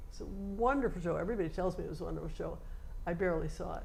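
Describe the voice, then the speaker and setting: The voice has ordinary pitch variation, and audible room echo surrounds it. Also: woman. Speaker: theater volunteer recalling history. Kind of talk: oral history interview. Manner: animated.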